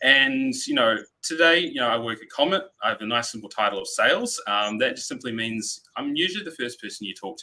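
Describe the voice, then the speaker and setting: In a New Zealand accent, a man talks at a very fast pace. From New Zealand, Christchurch. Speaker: sales representative for backup software. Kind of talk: webinar presentation.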